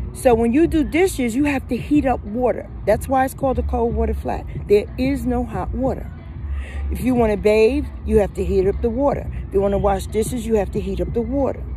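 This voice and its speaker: Over music in the background, a woman speaks at a fairly quick pace with audible room echo. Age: 60s. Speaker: recovering addict sharing her story. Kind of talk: personal testimony.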